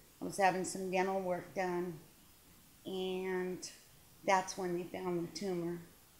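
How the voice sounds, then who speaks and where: Speaking at a very slow pace, a woman with a medium-pitched voice is heard with audible room echo. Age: 60s. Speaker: retired corrections counselor, cancer patient. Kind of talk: testimony. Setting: hospital waiting room. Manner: halting. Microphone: poor audio, too quiet.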